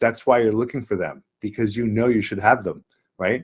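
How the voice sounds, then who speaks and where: Heard in a dry, close sound with no echo, a man speaks at a medium pitch. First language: not English. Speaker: spiritual teacher. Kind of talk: sales pitch.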